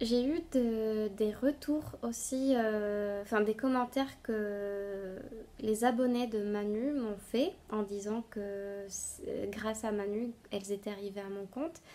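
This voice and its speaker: Speaking very slowly at a fairly high pitch, a woman with a Spanish accent shows ordinary pitch variation. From Bolivia (La Paz). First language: Spanish (speaking French). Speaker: knitting podcaster. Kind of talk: casual vlog talk to viewers. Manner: halting, many hesitations.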